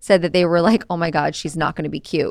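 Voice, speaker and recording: Here a woman speaks at a medium pitch with a General American accent. Her pitch varies in an ordinary way. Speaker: podcast co-host. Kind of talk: casual chat. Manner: animated.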